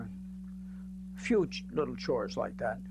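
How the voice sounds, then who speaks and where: A man's voice with audible room echo. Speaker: retired university president. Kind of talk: interview. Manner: loud; halting.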